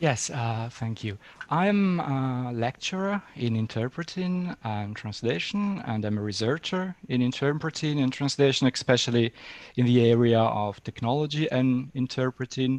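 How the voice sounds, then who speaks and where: In an Italian accent, a man speaks at a medium pitch and a moderate pace. His intonation is lively, and the background is quiet. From Italy. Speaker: interpreting lecturer and software developer. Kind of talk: webinar interview. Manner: halting.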